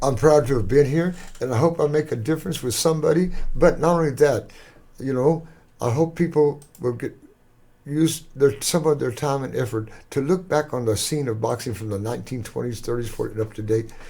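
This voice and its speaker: A man with an American accent, a dark, mellow tone, somewhat breathy, fairly high in pitch and at a fairly quick pace. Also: ordinary pitch variation. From Texas. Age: 80s+. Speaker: former boxer. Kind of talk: interview.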